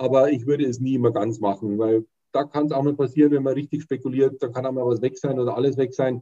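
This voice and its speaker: Here a man talks at a very fast pace. His tone is dark and mellow. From Bavaria, Munich. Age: 50s. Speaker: fund sales and training manager. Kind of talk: casual interview. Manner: hesitant, with frequent fillers.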